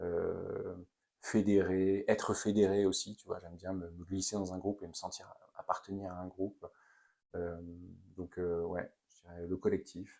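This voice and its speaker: Speaking at a fairly slow pace, a man uses a very deep, low pitch and a dark, mellow tone with monotone, flat intonation. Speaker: company founder and CEO. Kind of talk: interview. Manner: loud; hesitant, many fillers.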